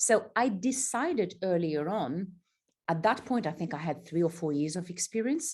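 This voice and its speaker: A woman speaks at medium pitch in a somewhat breathy voice. The background is quiet. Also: lively intonation, moderate pace. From Algeria. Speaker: executive coach. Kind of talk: interview.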